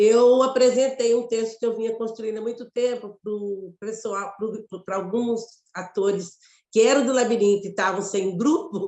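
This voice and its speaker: In a Mato Grosso accent, a woman speaks at a fairly slow pace and a fairly high pitch with fairly even intonation. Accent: Mato Grosso Brazilian. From Brazil, Mato Grosso. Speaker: theatre actress and director. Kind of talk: interview conversation.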